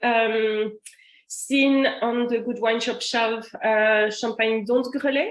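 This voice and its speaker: Speaking at a fairly slow pace, a woman has a French accent. Her pitch is fairly high. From France. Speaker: master sommelier and wine importer. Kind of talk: online wine tasting presentation. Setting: online video session with screen share. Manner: hesitant, many fillers.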